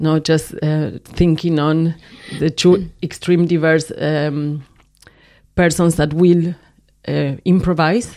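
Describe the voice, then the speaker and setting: In a very clean recording with a silent background, a woman with a Spanish accent speaks at a very deep, low pitch in a dark, mellow tone, monotone and flat, at a very slow pace with long, frequent pauses. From Argentina. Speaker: film and video artist. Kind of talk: casual interview. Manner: halting.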